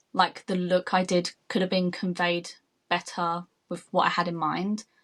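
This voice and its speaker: At a moderate pace, a woman speaks in a British accent. Her pitch is fairly low and her intonation monotone and flat. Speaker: makeup artist. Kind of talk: interview.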